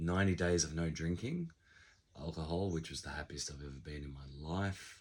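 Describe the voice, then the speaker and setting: A man's very deep, low, somewhat breathy voice. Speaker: business owner and vlogger. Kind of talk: casual vlog monologue.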